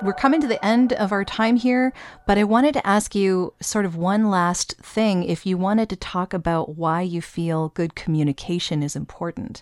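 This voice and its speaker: A plain, everyday voice at a moderate pace, with lively intonation and hardly any pauses, in a dry, close sound with no echo against a quiet background. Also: woman, medium pitch for a woman. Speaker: podcast host and voiceover artist. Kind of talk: interview conversation.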